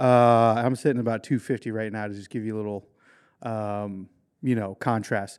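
A man's medium-pitched voice with an American accent, monotone and flat, at a moderate pace with big swings in loudness, in a very clean recording with a silent background. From Maryland, US. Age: 40s. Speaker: motorcycle stunt rider. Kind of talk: casual chat. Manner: halting, many fillers.

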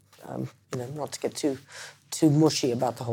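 A woman speaks with an American accent and a dark, mellow tone. Her pitch varies in an ordinary way, on a very clean recording with a silent background. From Massachusetts, US. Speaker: education director at a barristers' professional body. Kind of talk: interview. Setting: indoors at the Inn. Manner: hesitant, many fillers.

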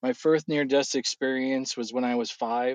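A man with an unremarkable speaking voice at a medium pitch. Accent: American. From California. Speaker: guest sharing faith testimony. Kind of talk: casual chat; testimony.

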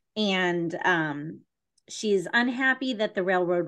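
With a quiet background, a woman speaks in a plain, everyday voice at a fairly low pitch. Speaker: podcast host. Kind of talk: casual chat.

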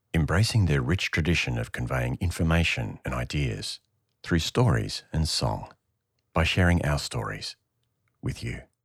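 A man talks with lively intonation and vocal fry. His pitch is very deep and low. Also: moderate pace, very clean recording, silent background. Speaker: podcast host. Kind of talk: interview.

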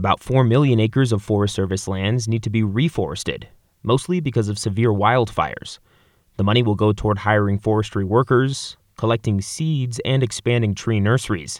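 Speaking at a fairly quick pace and medium pitch with ordinary pitch variation, a man has a normal speaking voice on a very clean recording with a silent background. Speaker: radio reporter. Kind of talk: scripted radio news report. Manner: formal.

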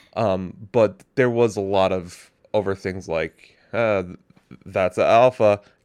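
A mumbling man at a very slow pace, fairly low in pitch with fairly even intonation, in a dry, close sound without echo. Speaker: podcast co-host. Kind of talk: casual chat.

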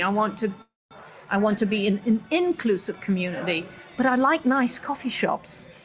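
Over noticeable background noise, a woman with a fairly high voice talks at a moderate pace with ordinary pitch variation. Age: 60s. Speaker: business consultant. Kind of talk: interview.

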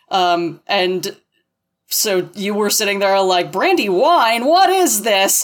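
A woman's normal speaking voice at medium pitch, with lively intonation. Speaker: poetry critic. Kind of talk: casual chat.

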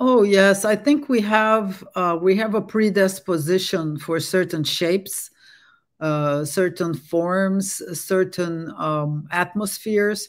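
A woman speaks very slowly at a medium pitch with ordinary pitch variation, on a very clean recording with a silent background. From Brazil, Dutch parents. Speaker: architect and urban designer. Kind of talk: interview.

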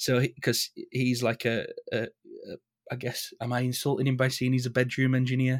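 Heard in a dry, close sound with no echo, a man with a Yorkshire accent speaks at a moderate pace in a monotone, flat intonation. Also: medium pitch for a man. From northern England. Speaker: rock band singer and music teacher. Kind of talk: casual interview. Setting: remote call.

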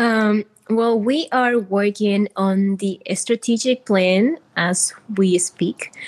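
At a very slow pace, a woman with a Spanish accent talks at a medium pitch and very even loudness, in a dry, close sound with no echo. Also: ordinary pitch variation. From Peru. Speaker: community organization founder. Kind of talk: interview.

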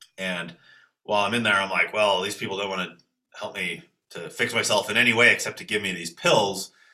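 A man with a Canadian accent talks at a fairly quick pace in a fairly low pitch, his tone bright and sharp. His intonation is fairly even, while his loudness swings widely. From Toronto, Canada. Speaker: qigong teacher. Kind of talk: casual interview.

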